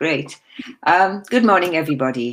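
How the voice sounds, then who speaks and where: A woman speaks with a Welsh accent. Her pitch shows ordinary variation. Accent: Welsh, retained. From South Wales. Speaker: real estate agent. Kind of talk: presentation at online expo.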